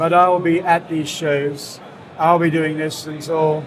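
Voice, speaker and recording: A man with a British accent, fairly high pitch, monotone and flat, at a fairly slow pace over noticeable background noise. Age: 60s. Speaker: cigar brand founder. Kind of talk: interview. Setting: trade fair.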